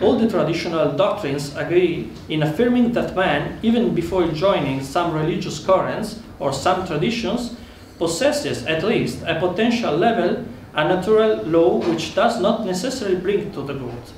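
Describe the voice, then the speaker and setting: A man with an Italian accent talks at a moderate pace, his pitch high and his intonation lively. Room echo is audible, and there is noticeable background noise. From Italy. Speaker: political speaker. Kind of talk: conference speech. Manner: formal.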